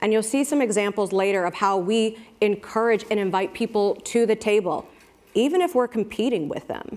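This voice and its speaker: A woman with an American accent talks at a fairly quick pace. Her pitch is fairly high, with ordinary variation, in an unremarkable speaking voice. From United States. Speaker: brand marketing executive. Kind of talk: panel talk.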